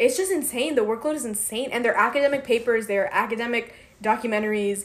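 In a plain, everyday voice, a woman with a fairly high pitch talks at a fairly quick pace with ordinary pitch variation. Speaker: college student podcast co-host. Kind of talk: casual chat.

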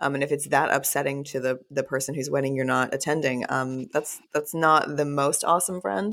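On a very clean recording with a silent background, a woman with an American accent and a very deep, low pitch speaks at a fairly quick pace with ordinary pitch variation and hardly any pauses. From Texas. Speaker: author and podcaster. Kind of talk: casual interview conversation.

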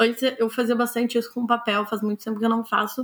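The woman's fairly high voice stays on one flat, monotone line. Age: 20s. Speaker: author. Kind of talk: interview. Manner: hesitant, many fillers.

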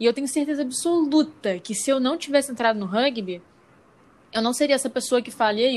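A woman at a fairly quick pace with ordinary pitch variation, on a very clean recording with a silent background. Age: young. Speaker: podcast co-host, student. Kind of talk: casual chat.

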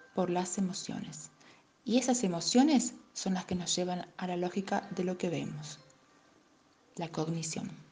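With music in the background, a woman talks at a fairly slow pace in a medium pitch with ordinary pitch variation. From Argentina, Tucumán. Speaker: life coach. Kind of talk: scripted narration.

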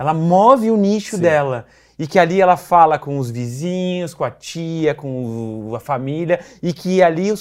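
The man has a fairly high voice and lively intonation. Overall, it is an unremarkable speaking voice. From Rio Grande do Sul, Brazil (city of Rio Grande). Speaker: PR agency founder, journalist. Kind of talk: casual interview.

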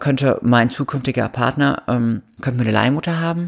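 Ordinary pitch variation in a woman's very deep, low voice. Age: 30s. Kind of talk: interview. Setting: at her home.

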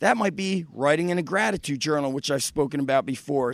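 A man talking at a very fast pace in an upbeat tone. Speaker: podcast host and fitness coach. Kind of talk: motivational pep talk. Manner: upbeat, punchy, fired-up and encouraging, direct address to listeners; earnest and conversational, confessional.

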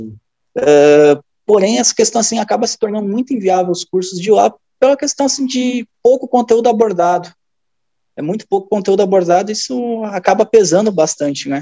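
A man speaks at a high pitch in a dark, mellow tone. His moderate pace is heard in a dry, close sound with no echo. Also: lively intonation. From Rio Grande do Sul, Brazil (near Novo Hamburgo). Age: 20s. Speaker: football performance analyst. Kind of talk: casual chat.

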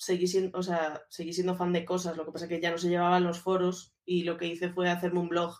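A woman speaks at a fairly quick pace with hardly any pauses. Her pitch is fairly low. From Galicia, Spain (A Coruña). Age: 30s. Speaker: social media and communications manager. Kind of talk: casual interview chat.

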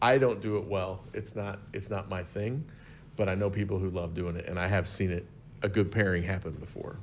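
This man's voice is fairly low and somewhat breathy. He speaks at a fairly quick pace with fairly even intonation. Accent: American. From Southern Illinois, US. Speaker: wine expert guest. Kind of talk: casual chat.

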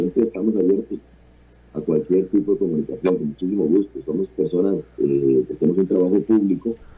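A man with an unremarkable speaking voice, fairly low in pitch, at a fairly quick pace with ordinary pitch variation. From Costa Rica, San José. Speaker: journalist. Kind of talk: interview.

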